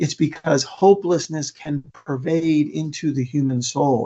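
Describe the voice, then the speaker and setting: In an American accent, a man speaks with a fairly high pitch, a somewhat breathy quality and fairly even intonation. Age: 60s. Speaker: motivational speaker on suicide prevention. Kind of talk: conference presentation. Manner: repetitive, stumbling restarts.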